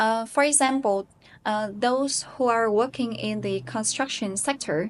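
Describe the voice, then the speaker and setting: Over a quiet background, a woman with a Vietnamese accent speaks fairly slowly at a fairly high pitch. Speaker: English teacher and IELTS learner. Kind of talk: self-recorded speaking practice with self-review. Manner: hesitant with many fillers.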